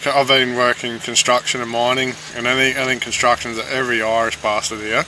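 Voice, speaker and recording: Man with a medium pitch and a flat monotone, fairly quick pace, over noticeable background noise. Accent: Australian. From Australia. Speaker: podcast co-host, construction and mining worker. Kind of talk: casual chat. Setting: separate rooms, remote recording.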